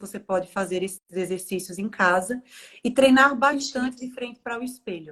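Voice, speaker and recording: Pitched fairly high, a woman speaks in an unremarkable speaking voice at a moderate pace, with lively intonation and big swings in loudness. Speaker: speech therapist. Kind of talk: podcast interview.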